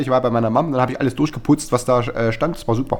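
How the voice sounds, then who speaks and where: A man speaks at a very fast pace in a medium pitch. His intonation stays fairly even. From Saxony, Erzgebirge region. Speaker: podcast co-host. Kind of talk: casual chat.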